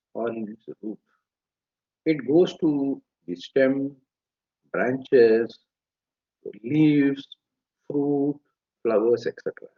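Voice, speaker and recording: Pausing often and at length, a man speaks at a very slow pace, his loudness swinging widely. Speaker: Veda scholar. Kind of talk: lecture. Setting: live webinar.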